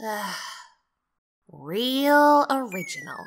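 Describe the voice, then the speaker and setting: A female-sounding voice takes on a put-on character at a high pitch. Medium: dub. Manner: sarcastic, unimpressed.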